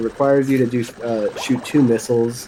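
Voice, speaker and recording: Speech at a moderate speed comes through noticeable background noise. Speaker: speedrun commentator. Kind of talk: live commentary. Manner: halting.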